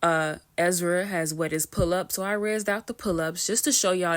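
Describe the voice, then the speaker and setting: The voice keeps a fairly even intonation on a very clean recording with a silent background. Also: woman. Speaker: gaming tutorial youtuber. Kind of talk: tutorial. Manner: fast.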